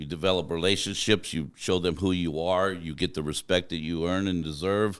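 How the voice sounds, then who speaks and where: A man with an American accent, very deep and low in pitch, fairly even in intonation, at a moderate pace with hardly any pauses, in a very clean recording with a silent background. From Arizona. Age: 50s. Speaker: truck driver. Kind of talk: casual chat. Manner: loud.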